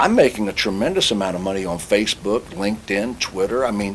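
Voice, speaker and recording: Over noticeable background noise, a man speaks in a fairly low pitch. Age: 60s. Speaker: automobile industry consultant and speaker. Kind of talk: interview.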